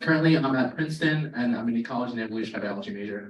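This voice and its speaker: There is audible room echo around the voice. The speaker is a man with an American accent. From Maryland, near Baltimore. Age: 20s. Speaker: student birder and wildlife photographer. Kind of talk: presentation to a club. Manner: casual with many fillers.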